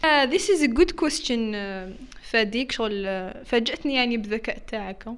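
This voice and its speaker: This woman has a fairly high pitch and talks at a moderate pace. Her intonation sounds lively. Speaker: content creator. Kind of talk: casual chat. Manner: animated, frequent code-switching and laughter.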